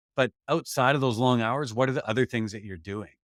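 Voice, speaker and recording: In a Canadian accent and a plain, everyday voice, a man speaks fairly quickly at medium pitch with ordinary pitch variation, the sound dry and close with no echo on a very clean recording with a silent background. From Canada. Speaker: leadership development consultant. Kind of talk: interview.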